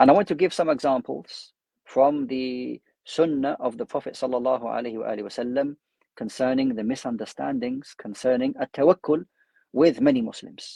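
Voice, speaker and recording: A man with a London accent, medium-pitched, with a dark, mellow tone, ordinary pitch variation, a moderate pace, and a dry, close sound with no echo. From London, UK. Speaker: Islamic scholar and imam. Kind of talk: religious lecture.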